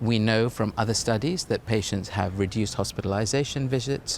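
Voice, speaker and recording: An ordinary speaking voice delivers the words at a fairly quick pace with ordinary pitch variation. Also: man. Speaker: cardiovascular consultant. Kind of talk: interview answer.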